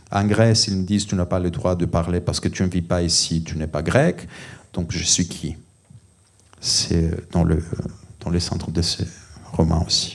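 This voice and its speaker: With a Greek accent, a man talks at a fairly slow pace in a very deep, low pitch, his intonation fairly even, his loudness swinging widely, and his pauses long and frequent. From Greece. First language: Greek (speaking French). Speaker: novelist, criminologist. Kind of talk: panel discussion at book festival. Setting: library event with audience.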